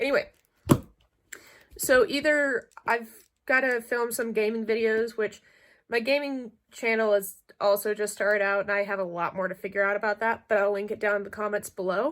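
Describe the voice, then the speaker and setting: On a very clean recording with a silent background, a woman with a fairly high pitch speaks at a moderate pace, leaving long, frequent pauses. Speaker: book youtuber. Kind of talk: casual vlog-style book review. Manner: animated.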